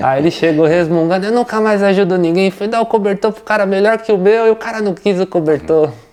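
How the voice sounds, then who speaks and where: A man talks at a fairly quick pace with lively intonation. Noticeable background noise runs behind him. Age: 30s. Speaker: interviewee, family member of a plant grower. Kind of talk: interview.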